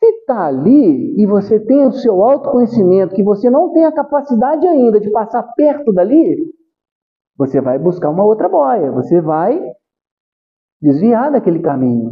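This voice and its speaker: Speech moves at a fairly slow tempo. Its pitch rises and falls very widely. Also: man, high pitch for a man. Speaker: spiritist lecturer. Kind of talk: spiritual talk. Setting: spiritist center meeting with audience.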